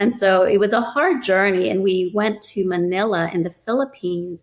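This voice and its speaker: In an unremarkable speaking voice, a woman talks at a moderate pace with a medium pitch and ordinary pitch variation. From US South, New Orleans. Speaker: real estate investor. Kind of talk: interview. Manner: casual, conversational.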